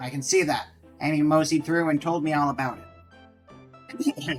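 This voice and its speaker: A put-on character voice at a middle pitch speaks at a moderate pace. Faint music plays in the background. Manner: in character, playful.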